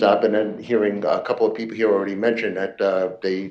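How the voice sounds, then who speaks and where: A man with a New York accent talks at a fairly quick pace in a fairly low pitch. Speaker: citizen speaker, retired IT project manager. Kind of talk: public comment at council meeting. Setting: city council chamber.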